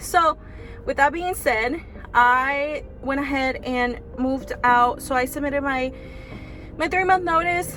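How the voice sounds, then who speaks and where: A woman talks fairly slowly in a high voice with ordinary pitch variation. Noticeable background noise runs behind her. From Mexican heritage, raised in US. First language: Spanish. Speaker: vlogger, body contouring business owner. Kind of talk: casual vlog talk to camera.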